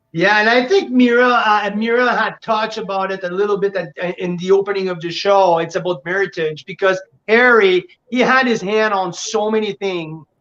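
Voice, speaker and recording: This voice speaks with a French accent. The pace is moderate. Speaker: winery representative. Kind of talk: casual chat.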